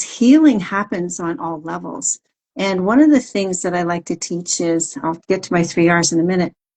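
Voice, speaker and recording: An unremarkable speaking voice belongs to a woman with a medium pitch and lively intonation. She talks at a moderate pace. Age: 60s. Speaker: wellness coach. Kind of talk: interview. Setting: social media live stream.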